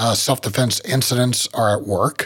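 With an American accent, a man has a normal speaking voice at medium pitch with fairly even intonation. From West Virginia. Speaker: gun rights group director and podcast host. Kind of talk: podcast interview.

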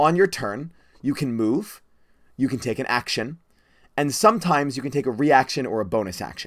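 An ordinary speaking voice from a man, medium in pitch, with lively intonation at a moderate pace on a very clean recording with a silent background. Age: 20s. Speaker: podcast host and dungeon master. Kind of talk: casual teaching chat.

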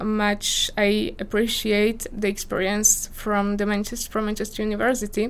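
Audible room echo surrounds a voice speaking with a Slovak accent. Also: woman. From Slovakia, small village. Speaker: PhD candidate in geography. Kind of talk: interview. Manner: hesitant, frequent fillers.

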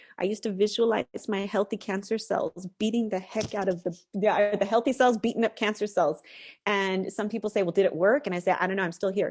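A woman speaks at a fairly quick pace in a plain, everyday voice, medium in pitch with fairly even intonation and an American accent, against a quiet background. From United States. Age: 40s. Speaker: novelist and mental health advocate. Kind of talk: interview conversation.

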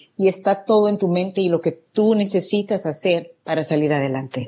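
Hardly pausing at all, a woman speaks in a fairly low, dark, mellow voice with ordinary pitch variation. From El Salvador. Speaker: real estate entrepreneur. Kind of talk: interview.

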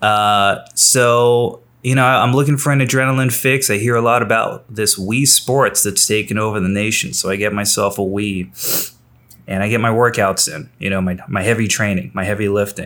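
A man with a normal speaking voice talks at a moderate pace. His pitch is fairly low with ordinary pitch variation. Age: 30s. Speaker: comedian. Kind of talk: casual chat.

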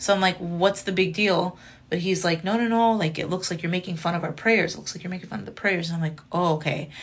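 A woman talks at a very fast pace in an American accent, her pitch fairly low and her voice somewhat breathy. Her intonation stays fairly even. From Chicago, US Midwest. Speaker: comedian and content creator. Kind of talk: casual chat.

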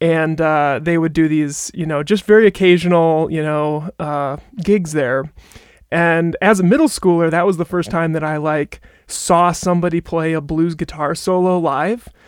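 Speaking with an American accent, a man uses a high pitch and fairly even intonation. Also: moderate pace. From Wisconsin, near Appleton. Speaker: microphone designer. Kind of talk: interview.

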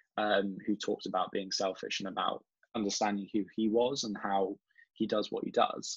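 With an English accent, the speaker talks at a moderate pace. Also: man. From England. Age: 20s. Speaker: marketing director. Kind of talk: podcast interview.

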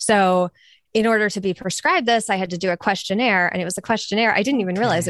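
Over a quiet background, a woman talks at a very fast pace in an animated tone. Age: 30s. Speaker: podcaster and weight loss advocate. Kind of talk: casual interview chat.

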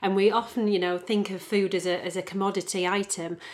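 In a very clean recording with a silent background, a woman speaks fairly quickly at a medium pitch, her intonation monotone and flat. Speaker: podcast co-host. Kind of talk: casual chat.

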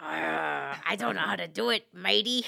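The speaker uses a put-on character voice at a low-to-middle pitch. The pace is fairly slow. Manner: playful, hesitant, trying out a pirate voice.

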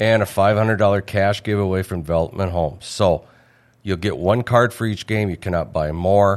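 A man with a plain, everyday voice speaks at a moderate pace. His intonation stays fairly even. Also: fairly low pitch for a man. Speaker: bar owner and event organizer. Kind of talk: casual interview. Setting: studio.

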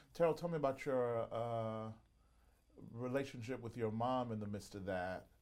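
In a Southern US accent, a man talks at a moderate pace with a medium pitch and ordinary pitch variation. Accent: Southern American. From US South, Mississippi. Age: 40s. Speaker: podcast host and pastor. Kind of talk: interview. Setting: studio.

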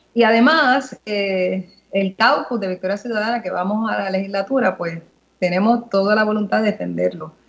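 With a plain, everyday voice, a woman speaks in a medium pitch at a moderate pace with fairly even intonation. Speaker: politician. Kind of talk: radio interview.

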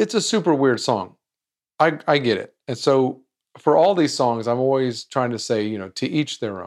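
Lively intonation at a moderate pace. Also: man. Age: 40s. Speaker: music trivia podcast host. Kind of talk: casual monologue. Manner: animated.

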